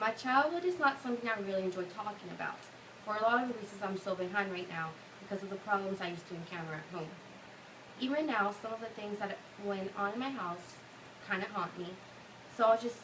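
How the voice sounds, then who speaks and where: A woman talks at a very fast pace yet takes long, frequent pauses, with noticeable background noise behind her. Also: medium pitch for a woman, ordinary pitch variation. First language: Spanish. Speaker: college student. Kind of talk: class speech; casual Q&A answer. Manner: halting.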